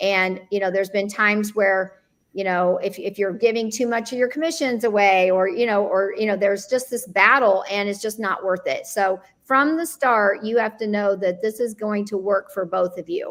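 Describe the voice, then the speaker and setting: A woman's medium-pitched voice at a moderate pace, with hardly any pauses. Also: ordinary pitch variation. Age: 60s. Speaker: luxury real estate agent and team leader. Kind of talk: panel discussion webinar. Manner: halting, many fillers and restarts.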